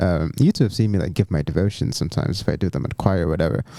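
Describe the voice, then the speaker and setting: Lively intonation marks this American accent, heard in a dry, close recording with no echo. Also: man. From Nigeria (Abuja). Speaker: graduate student and church musician. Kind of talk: casual chat. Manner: hesitant, many fillers and restarts.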